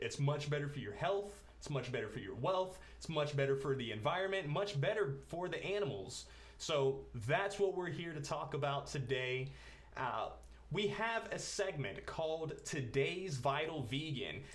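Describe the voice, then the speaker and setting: Over noticeable background noise, a man with a fairly high pitch talks in an upbeat tone. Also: lively intonation, moderate pace. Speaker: talk show host. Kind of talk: casual talk to camera.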